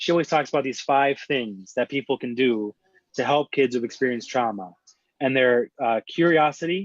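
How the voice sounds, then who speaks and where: A man talks in a normal speaking voice with medium pitch, ordinary pitch variation and a moderate pace, and the sound is dry and close with no echo. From Seattle, US. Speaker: social worker. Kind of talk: interview. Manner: casual, conversational.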